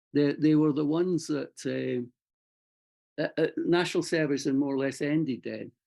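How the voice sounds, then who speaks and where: A man talks at a fairly quick pace in a Scottish accent. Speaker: army veteran and writer. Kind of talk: interview. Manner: halting.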